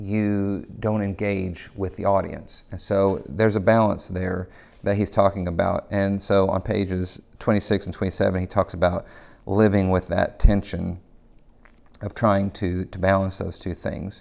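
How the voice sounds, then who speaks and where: The recording is very clean, with a silent background. A man speaks at a fairly low pitch in monotone, flat intonation. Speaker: teacher discussing a book. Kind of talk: informal lecture. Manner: slow talker, pauses mid-sentence.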